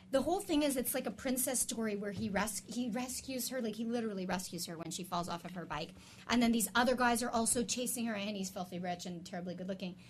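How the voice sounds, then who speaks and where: With hardly any pauses, a woman with a fairly high pitch races along at a very fast pace, using ordinary pitch variation. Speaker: sex therapist guest. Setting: studio. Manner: loud.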